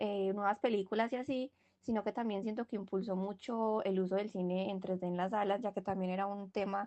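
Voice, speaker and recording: Speaking in a strong Antioquian accent, a woman keeps a medium pitch and fairly even intonation. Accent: strong paisa. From Colombia, Medellín (paisa). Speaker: university student podcast co-host. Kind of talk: casual discussion podcast. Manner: hesitant, many fillers.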